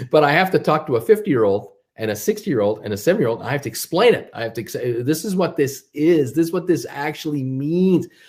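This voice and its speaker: A man with an American accent talks at a very fast pace, his fairly high, somewhat breathy voice swinging very widely in pitch. The recording is very clean, with a silent background. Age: 60s. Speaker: stock market commentator. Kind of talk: casual livestream monologue. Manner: halting, many fillers and repetitions.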